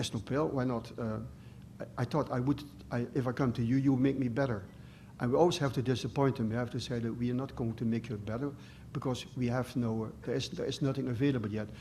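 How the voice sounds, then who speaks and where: There is audible room echo as a man speaks at a very fast pace. His medium-pitched voice is somewhat breathy, with fairly even intonation. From Netherlands. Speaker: professor. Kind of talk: lecture. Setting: stage with audience. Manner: halting.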